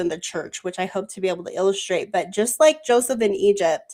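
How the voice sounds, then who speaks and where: At a moderate pace, a woman uses an ordinary speaking voice, medium in pitch with ordinary pitch variation. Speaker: scripture study panel host. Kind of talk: live panel bible study discussion. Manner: casual, filler-heavy.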